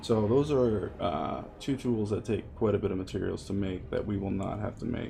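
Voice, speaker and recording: A man speaks with a fairly low pitch. Audible room echo and noticeable background noise surround him. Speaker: gaming video creator. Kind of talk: gameplay commentary.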